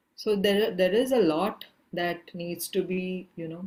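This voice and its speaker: A soft-spoken woman's fairly low voice at a fairly slow pace, with fairly even intonation. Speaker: activist and filmmaker. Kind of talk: masterclass talk. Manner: trailing off in volume. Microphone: too quiet.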